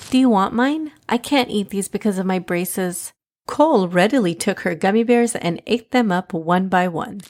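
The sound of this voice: The pitch rises and falls in an ordinary way in this unforced reading voice. Nothing can be heard behind it.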